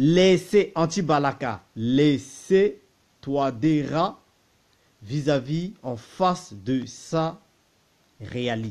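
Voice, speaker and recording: Lively intonation comes through against a quiet background. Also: man. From Central African Republic. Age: 30s. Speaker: political commentator. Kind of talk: political monologue. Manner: animated; repetitive, stammering. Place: home room. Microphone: phone near.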